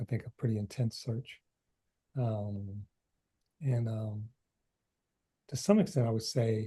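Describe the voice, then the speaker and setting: A man with an American accent speaks at a medium pitch in a dark, mellow, somewhat breathy tone, at a fairly slow pace with fairly even intonation. Long, frequent pauses break up his speech, and the sound is dry and close with no echo. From US Midwest, Detroit. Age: 60s. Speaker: author. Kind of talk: interview. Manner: halting, many fillers.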